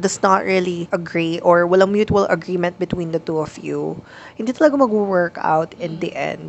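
A Filipino accent with ordinary pitch variation. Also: woman. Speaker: podcast co-host. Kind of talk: casual chat.

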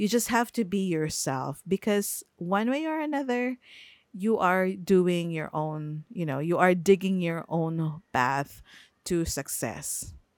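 Speaking very slowly, a woman with a Filipino accent uses lively intonation at a fairly low pitch. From Philippines. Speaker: podcast host. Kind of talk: casual solo podcast talk. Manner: hesitant, many fillers.

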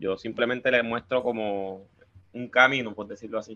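A man's medium-pitched voice stays monotone and flat at a moderate pace. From Colombia, Cartagena (Caribbean coast). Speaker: paranormal investigator and chemical engineer. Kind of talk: casual chat.

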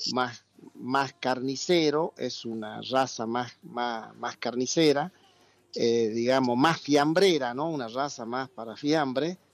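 The man's pitch sits in the medium range, with ordinary variation. He speaks at a very slow pace. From Argentina. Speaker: ham producer. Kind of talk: interview.

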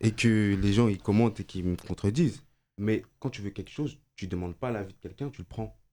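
A man's fairly low voice, dark and mellow in tone, with ordinary pitch variation and big swings in loudness. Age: 20s. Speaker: engineering student, debate participant. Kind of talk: casual debate.

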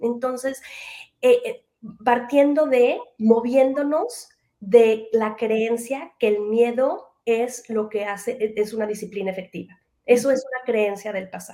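Speaking very slowly in a Mexican accent, a woman has a fairly high pitch, a dark, mellow tone and fairly even intonation. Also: big swings in loudness. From Mexico. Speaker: educator and parenting trainer. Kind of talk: interview.

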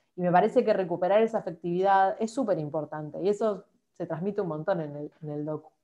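Talking at a very fast pace, a woman with a medium-pitched, dark, mellow voice shows ordinary pitch variation and big swings in loudness. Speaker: podcast host. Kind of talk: casual interview chat.

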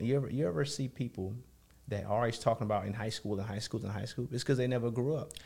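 The voice is somewhat breathy with a dark, mellow tone. It moves at a very fast pace with ordinary pitch variation. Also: man. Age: 30s. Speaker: community activist. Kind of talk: casual chat.

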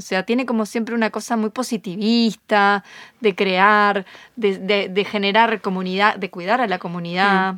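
In a very clean recording with a silent background and a dry, close sound without echo, a woman talks at a moderate pace in a monotone, flat intonation. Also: medium pitch for a woman. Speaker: podcast co-host, astrology. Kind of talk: casual chat.

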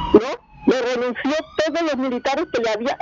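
A woman with a high pitch at a fairly slow pace, in a dry, close sound with no echo and noticeable background noise. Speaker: caller. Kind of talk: call-in opinion.

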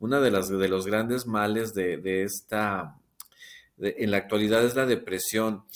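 A man with an unremarkable speaking voice talks at a fairly slow pace, his pitch fairly low and his intonation fairly even. The recording is very clean, with a silent background. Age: 50s. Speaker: TikTok creator and psychotherapy student. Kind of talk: casual interview conversation.

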